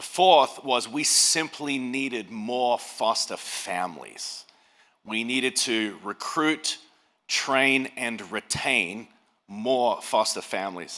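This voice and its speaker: Bright and sharp in tone, a man with an Australian accent and medium pitch speaks at a very slow pace. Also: ordinary pitch variation. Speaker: pastor. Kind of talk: speech. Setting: stage with audience.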